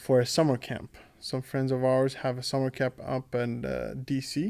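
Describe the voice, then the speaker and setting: On a very clean recording with a silent background, a man with a dark, mellow tone talks at a medium pitch and moderate pace. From Greece, Athens. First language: Greek. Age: 20s. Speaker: student government president. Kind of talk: casual interview. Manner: hesitant, many fillers.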